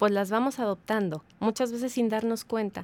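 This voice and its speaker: A woman with a fairly high pitch talks at a moderate pace in an ordinary speaking voice, recorded dry and close with no echo. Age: 40s. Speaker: habits coach. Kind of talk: casual interview.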